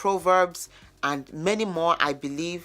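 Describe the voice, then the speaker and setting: Music plays behind a woman with a fairly low pitch and a Yoruba accent. She speaks at a fairly slow pace. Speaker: lifestyle vlogger. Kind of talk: vlog monologue. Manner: conversational.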